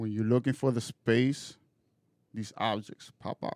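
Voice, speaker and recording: At a fairly slow pace, a man with a medium pitch speaks in a dark, mellow tone with fairly even intonation, in a dry, close sound with no echo. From Dominican Republic. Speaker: spiritual practitioner. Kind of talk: casual interview.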